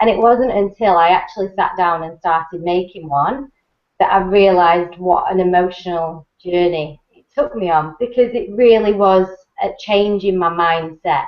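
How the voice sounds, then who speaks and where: A woman with a medium pitch talks at a moderate pace with ordinary pitch variation. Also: big swings in loudness. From England. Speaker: network marketing presenter. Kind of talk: webinar talk. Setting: online video hangout.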